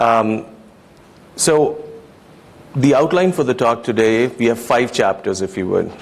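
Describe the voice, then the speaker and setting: A man with a non-native accent at a moderate pace, against noticeable background noise. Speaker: lighting designer. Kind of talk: conference talk. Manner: hesitant, many fillers.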